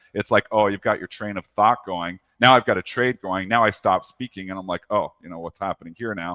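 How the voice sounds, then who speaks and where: The man's voice is fairly low with a bright, sharp tone and fairly even intonation. Big swings in loudness come through a dry, close sound with no echo. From Canada. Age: 40s. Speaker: professional trader. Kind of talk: interview. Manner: conversational, with frequent fillers.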